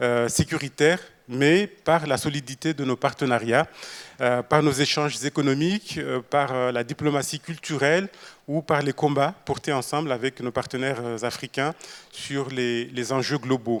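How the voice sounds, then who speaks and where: Heard dry and close with no echo, a man speaks fairly slowly at a fairly high pitch, keeping his intonation fairly even. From Mayotte. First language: Shimaore (speaking French). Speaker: government minister. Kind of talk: panel talk. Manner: halting, many filler sounds.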